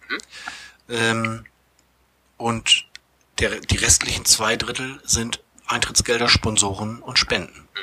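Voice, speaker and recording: A very slow pace with long, frequent pauses and monotone, flat intonation. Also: man, medium pitch for a man. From Bremerhaven, northern Germany. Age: 40s. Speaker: theatre manager and improv actor. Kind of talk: casual interview. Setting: theatre venue.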